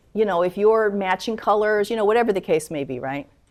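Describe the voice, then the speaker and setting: At a fairly quick pace, a woman speaks on a very clean recording with a silent background. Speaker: attorney. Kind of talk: lecture. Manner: fast.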